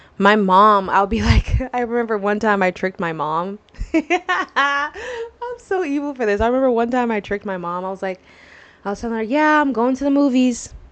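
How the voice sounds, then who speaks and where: This woman has an unremarkable speaking voice, fairly high in pitch. Her intonation is lively and her pace moderate. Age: 20s. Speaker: podcast host. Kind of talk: casual chat.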